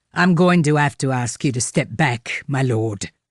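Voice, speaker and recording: The speaker uses a put-on, growling character voice. The pitch sits low-to-middle, and the pace is moderate. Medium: read story. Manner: plain-spoken, blunt.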